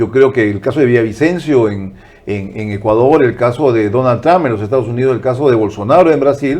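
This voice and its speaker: Delivered at a fairly quick pace, the speech shows ordinary pitch variation. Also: man, medium pitch for a man. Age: 60s. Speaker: political commentator and broadcaster. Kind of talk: interview. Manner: animated.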